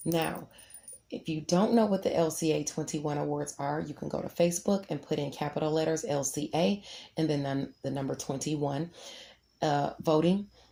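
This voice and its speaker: Her voice is very deep and low, dark and mellow with vocal fry, moving at a moderate pace with ordinary pitch variation. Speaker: astrologer and author. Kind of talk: horoscope reading with announcements.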